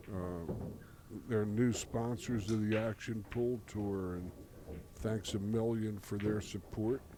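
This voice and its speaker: A man speaks very slowly in a dark, mellow tone with monotone, flat intonation. Room echo is audible. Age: 70s. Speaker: pool commentator. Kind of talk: live commentary. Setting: commentary booth at pool hall. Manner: halting.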